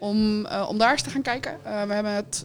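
A woman speaks in a fairly high voice over noticeable background noise. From Netherlands, Woerden. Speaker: municipal employee and heritage day organiser. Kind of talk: casual radio interview. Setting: live broadcast from a café.

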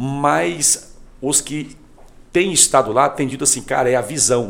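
His voice carries vocal fry. The man speaks at medium pitch with ordinary variation. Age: 40s. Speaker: pastor and youth leader. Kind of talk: podcast interview.

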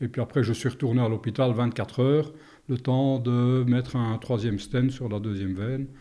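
A man's dark, mellow tone stands out against a quiet background. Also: medium pitch for a man, moderate pace. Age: 60s. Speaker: retired soldier and heart patient. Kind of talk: personal testimony interview. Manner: hesitant, many fillers.

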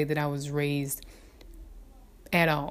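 A woman's very deep, low voice with a Southern US accent. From US South. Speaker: mother sharing experiences. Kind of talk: personal reflection.

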